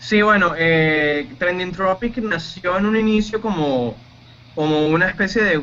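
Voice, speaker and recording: Over noticeable background noise, a man talks at a fairly slow pace with a high pitch and ordinary pitch variation. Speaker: radio announcer and producer. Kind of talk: interview answer.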